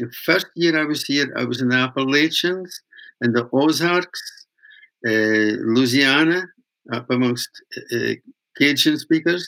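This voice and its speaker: A man speaks at a fairly slow pace, with long, frequent pauses. His voice is fairly high-pitched, with a northeast Scottish accent. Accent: Scottish, Doric (northeast Scots). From Scotland, Aberdeenshire. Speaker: master weaver and folk singer. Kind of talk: storytelling interview. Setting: remote call. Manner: animated storyteller.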